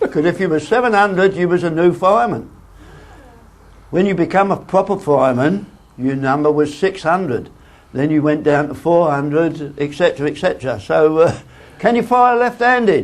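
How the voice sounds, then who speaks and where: A man's high-pitched voice with lively intonation. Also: moderate pace. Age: 80s+. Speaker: retired train driver. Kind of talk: personal reminiscence talk.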